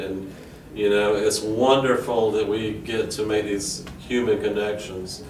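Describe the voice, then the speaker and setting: A man with a South Carolina accent, fairly low-pitched and fairly slow, amid audible room echo and noticeable background noise. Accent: Southern US (South Carolina). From South Carolina, US South. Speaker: banjo player and pastor. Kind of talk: casual talk to camera. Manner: halting, many fillers.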